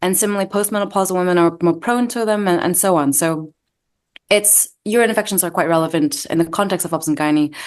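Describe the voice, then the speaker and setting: A woman with an American accent speaks at a very fast pace against a quiet background. Her pitch is fairly low, with ordinary variation. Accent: partially American. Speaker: doctor and medical researcher. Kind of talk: interview. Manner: hesitant, with fillers.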